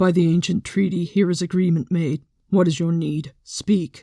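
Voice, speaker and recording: This is a put-on character voice, growling at a middle pitch. The pace is moderate. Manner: formal, ritual.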